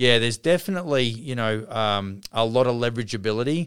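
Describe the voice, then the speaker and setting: A man speaking with a non-native accent. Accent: non-Canadian accent, self-described. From outside Canada, immigrant. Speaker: podcast host and construction company CEO. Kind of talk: casual interview chat.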